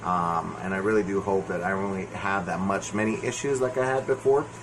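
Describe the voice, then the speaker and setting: The voice shows ordinary pitch variation, with noticeable noise in the background. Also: man. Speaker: movie reviewer. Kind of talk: solo video review. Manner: halting. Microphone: no microphone, voice quiet.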